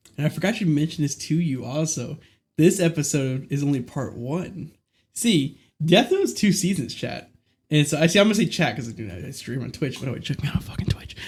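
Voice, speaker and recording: Fairly quick and somewhat breathy, a man speaks with fairly high pitch and lively intonation on a very clean recording with a silent background. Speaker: podcast host and streamer. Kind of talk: casual chat. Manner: animated; halting.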